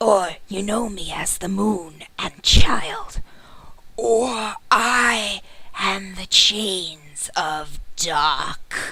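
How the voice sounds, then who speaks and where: A female-sounding voice, medium in pitch and rumbling, goes very slowly in a put-on character voice. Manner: ominous.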